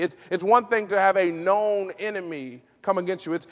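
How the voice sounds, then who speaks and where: Speaking at a moderate pace, a man with a high pitch uses an animated tone. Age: 30s. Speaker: pastor. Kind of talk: sermon. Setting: church.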